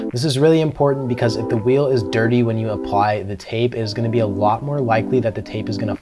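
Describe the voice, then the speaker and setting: Over clear music in the background, the speaker talks at a very fast pace. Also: man. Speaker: presenter. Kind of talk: tutorial. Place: studio.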